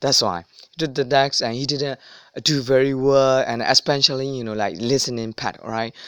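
A man with a non-native accent speaks at a medium pitch and moderate pace, his intonation fairly even. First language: not English. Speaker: language learning vlogger. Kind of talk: casual advice monologue. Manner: halting, many fillers.

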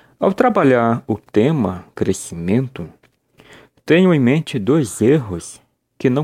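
A man's dark, mellow voice at medium pitch, very slow, with very wide pitch swings, in a dry, close recording with no echo. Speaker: preacher. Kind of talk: sermon. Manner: earnest, formal; measured, pastoral address.

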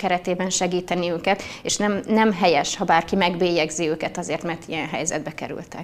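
Noticeable background noise behind a woman at medium pitch. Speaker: politician. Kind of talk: debate.

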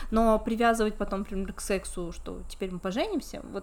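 A woman at a moderate pace. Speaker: podcast host, relationships columnist, psychology student. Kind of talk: casual chat.

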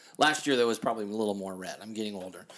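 A man is speaking. He has an American accent. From Kansas City, US Midwest. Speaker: podcast host and DJ. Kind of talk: casual chat. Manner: loud; animated.

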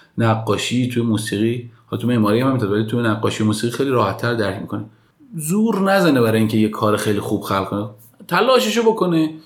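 Over noticeable background noise, a man with a medium-pitched voice talks at a very fast pace with lively intonation. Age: 30s. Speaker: architect. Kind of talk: interview.

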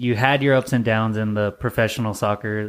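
On a very clean recording with a silent background, a man with an unremarkable speaking voice talks at a moderate pace. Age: 30s. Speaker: podcast host. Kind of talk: casual chat.

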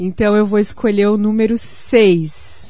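A woman speaks at a medium pitch. Audible room echo is present. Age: 30s. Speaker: pension fund sales agent. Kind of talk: sales pitch on radio. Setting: radio studio.

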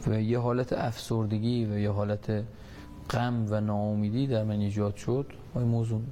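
A man speaks in a dark, mellow tone. His intonation is monotone and flat, and his loudness stays very even. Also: fairly low pitch for a man, moderate pace. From Iran, Takab. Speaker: war veteran with near-death experience. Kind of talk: testimony.

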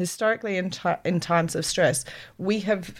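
In an Australian accent, a woman talks over a silent background on a very clean recording. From South Australia, Adelaide. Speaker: PhD researcher in urban agriculture. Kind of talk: interview.

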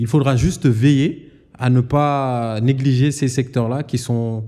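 This man's voice sits at a medium pitch, with a dark, mellow tone and fairly even intonation. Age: 30s. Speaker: geologist and energy entrepreneur. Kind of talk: interview. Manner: hesitant with fillers.

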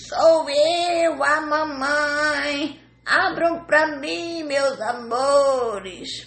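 A high-pitched put-on character voice moves at a very slow pace with hardly any pauses. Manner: sweet-talking, disguising his voice.

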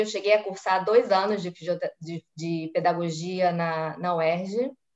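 A woman talks at a very slow pace. Her medium-pitched voice keeps a fairly even intonation. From Brazil, Rio de Janeiro (Tijuca). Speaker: physiotherapist. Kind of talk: casual interview on a live stream.

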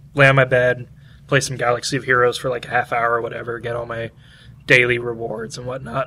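A man puts on a raspy character voice at medium pitch, with monotone, flat intonation. He talks at a very fast pace with big swings in loudness.

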